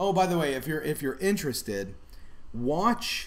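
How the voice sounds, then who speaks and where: A man is speaking. He mumbles. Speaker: food channel host. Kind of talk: casual live stream chat. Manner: mumbling.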